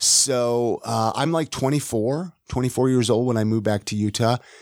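With an American accent and a plain, everyday voice, a man talks at a moderate pace with ordinary pitch variation in a dry, close sound with no echo. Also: very clean recording, silent background. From California, Ventura. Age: 40s. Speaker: podcast host and realtor. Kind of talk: casual interview, being interviewed. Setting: studio.

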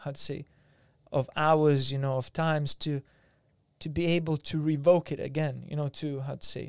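A man with a Lithuanian accent and a fairly high pitch talks at a moderate pace, the sound dry and close with no echo in a very clean recording with a silent background. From Lithuania, Vilnius. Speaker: martial arts teacher and osteopath. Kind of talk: casual interview chat.

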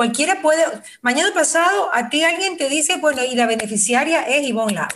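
Lively intonation in a woman's high voice. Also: fairly quick pace. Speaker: radio host. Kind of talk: casual chat.

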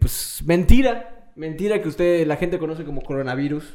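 With a Mexican accent, a man speaks in a dark, mellow tone with ordinary pitch variation. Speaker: podcast host. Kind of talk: casual chat.

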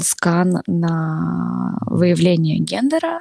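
Dry, close sound with no echo around a woman's voice. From Belarus, Novopolotsk. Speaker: new mother. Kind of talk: casual interview.

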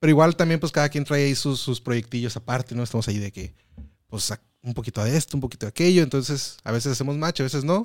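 At a very fast pace, a man talks at medium pitch with ordinary pitch variation, recorded dry and close with no echo, very clean against a silent background. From Mexicali, Baja California, Mexico. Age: 30s. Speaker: stand-up comedian. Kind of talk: casual chat.

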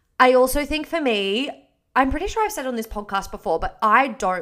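The speaker is a woman with an Australian accent. Her voice has a bright, sharp tone. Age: 20s. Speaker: podcast host and fitness coach. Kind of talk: casual solo chat. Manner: animated.

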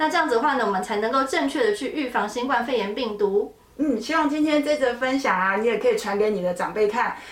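Over noticeable background noise and audible room echo, a woman speaks at a very fast pace with hardly any pauses, a high pitch and lively intonation. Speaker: dermatologist. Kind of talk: educational podcast chat.

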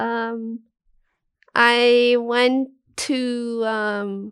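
A woman's high-pitched, monotone, flat voice in a very clean recording with a silent background. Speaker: podcast co-host, journalism graduate. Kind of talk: casual chat. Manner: slow; hesitant.

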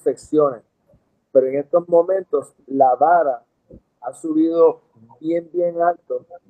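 This man has a high-pitched voice and speaks at a very slow pace. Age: 60s. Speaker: dentist. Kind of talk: interview.

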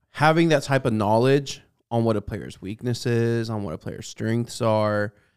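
Recorded very cleanly over a silent background with a dry, close sound and no echo, a man speaks in an ordinary speaking voice at fairly low pitch and a moderate pace. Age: 20s. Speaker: sports podcast co-host. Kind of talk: casual chat. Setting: studio.

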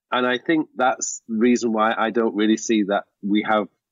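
This man has a normal speaking voice, medium in pitch, with fairly even intonation and a moderate pace. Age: 40s. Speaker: productivity coach and author. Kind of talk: casual interview.

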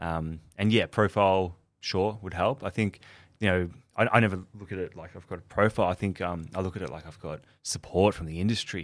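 A man with an Australian accent speaks at a very deep, low pitch and a fairly quick pace, with fairly even intonation. His loudness swings a lot, and the recording is very clean with a silent background. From Melbourne, Australia. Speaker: chef and food business founder. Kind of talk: interview.

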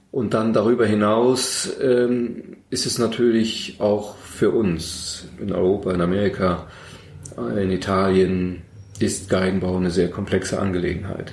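With noticeable background noise and audible room echo, a man at a fairly low pitch talks at a fairly slow pace with fairly even intonation. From Berlin, Germany. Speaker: violin maker. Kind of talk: interview. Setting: workshop.

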